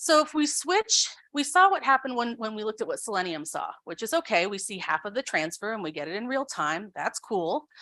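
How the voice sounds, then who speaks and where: A woman's voice sits fairly high with a bright, sharp tone. The background is quiet. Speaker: researcher. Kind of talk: lecture. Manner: fast.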